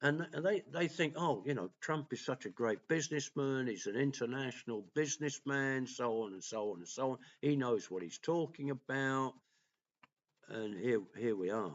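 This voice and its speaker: Here a man speaks with an English accent at medium pitch. His delivery has lively intonation and a moderate pace. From England. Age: 60s. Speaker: political commentator and vlogger. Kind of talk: opinion monologue. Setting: at home.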